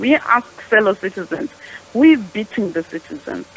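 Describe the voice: With lively intonation and a medium pitch, a woman speaks at a moderate pace. Her tone is fairly bright, with a slightly husky edge.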